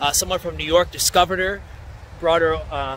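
A man is speaking here. The sound is dry with no echo, over light background noise. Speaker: local history vlogger. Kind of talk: casual historical narration. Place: open country. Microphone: phone near.

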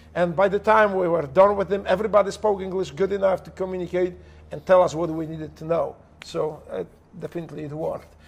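A man with a Polish accent, high-pitched, talking very fast with fairly even intonation. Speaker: former special operations operator. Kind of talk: heavily profane, casual storytelling. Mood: humorous, animated. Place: home room.

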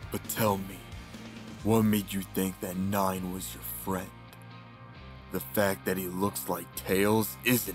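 A cartoonish character voice from a man, very deep and low, at a fairly slow pace with long, frequent pauses, over clear background music. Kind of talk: fan comic dub acting. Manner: angry, scolding, bitter.

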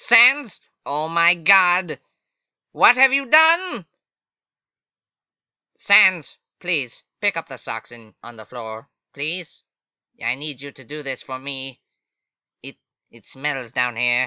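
A man puts on a character voice at a fairly high pitch. He speaks at a very slow pace with long, frequent pauses. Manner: exasperated; loud, boastful, theatrical.

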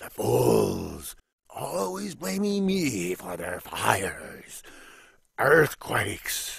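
A man's cartoonish character voice, medium in pitch and very slow in pace. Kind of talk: animated film dialogue. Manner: theatrical, grandiose.

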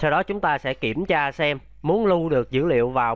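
At a moderate pace, a man with a fairly high pitch speaks with ordinary pitch variation. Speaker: web programming instructor. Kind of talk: tutorial. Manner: repetitive, halting at times.

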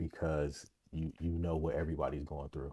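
A man with a very deep, low voice and a dark, mellow tone speaks at a moderate pace with fairly even intonation against a quiet background. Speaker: podcast host. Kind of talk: casual podcast monologue. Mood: warm, grateful. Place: home room. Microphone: studio mic.

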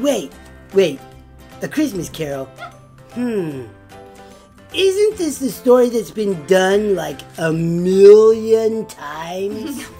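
A female-sounding, put-on character voice speaks at a fairly high pitch and a very slow pace. Clear music plays in the background. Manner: playful, excitable, comic.

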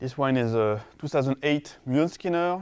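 Over a quiet background, a man in a French accent speaks at a moderate pace with medium pitch and lively intonation. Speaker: winemaker. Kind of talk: wine tasting description. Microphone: lapel.

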